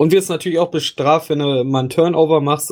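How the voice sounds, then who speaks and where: The voice is monotone, with flat intonation, on a very clean recording with a silent background. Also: man. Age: 30s. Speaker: gaming podcast host. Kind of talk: casual chat.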